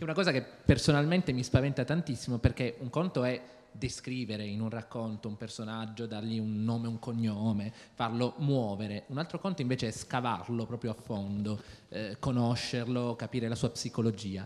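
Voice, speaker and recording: The speaker is a man talking at a moderate pace. His pitch moves in an ordinary way. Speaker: audience member asking questions; audience member. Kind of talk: audience question. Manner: halting. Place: stage. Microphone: handheld.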